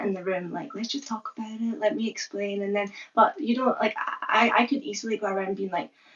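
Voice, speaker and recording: A woman speaks with a Scottish accent at a fairly quick pace. Her pitch varies in an ordinary way. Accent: Scottish accent with deaf speech features. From Scotland. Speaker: content creator raising deaf awareness. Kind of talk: casual interview conversation. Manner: animated, many fillers.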